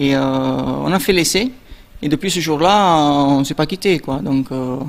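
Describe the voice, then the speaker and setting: Amid noticeable background noise, a man with an Italian accent speaks very slowly at a fairly high pitch with ordinary pitch variation. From Italy, Naples. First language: Italian (speaking French). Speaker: competitive dancer. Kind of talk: interview.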